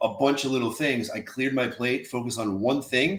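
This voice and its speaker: A man talks in a normal speaking voice at a fairly quick pace, with a medium pitch and fairly even intonation. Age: 50s. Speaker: podcast host and real estate investor. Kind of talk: podcast interview. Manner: casual.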